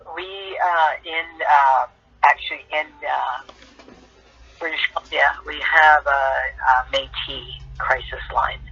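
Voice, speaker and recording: The speech comes at a very slow pace with long, frequent pauses over noticeable background noise. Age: 60s. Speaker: Métis community member, guest. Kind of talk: interview on talk show.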